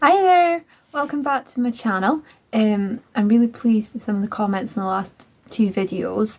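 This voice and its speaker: A somewhat breathy woman at a fairly high pitch, moderate pace and lively intonation. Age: 20s. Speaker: vlogger. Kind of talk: casual monologue. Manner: hesitant, many fillers.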